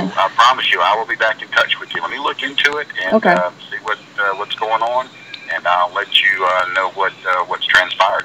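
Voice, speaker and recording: Noticeable background noise under a man talking at a fairly quick pace. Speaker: poison control center director.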